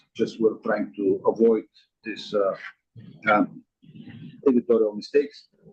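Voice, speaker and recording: This man talks at a medium speed. He has a non-native accent. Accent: noticeable foreign. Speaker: state building code official. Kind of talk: staff report at public meeting. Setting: meeting room, streamed on Zoom. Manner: hesitant, many fillers. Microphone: too far from microphone, quiet on Zoom.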